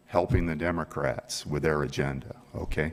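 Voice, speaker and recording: A man talks at an even, middling speed with noticeable noise in the background. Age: 60s. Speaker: public commenter. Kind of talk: public comment at government meeting. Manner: animated.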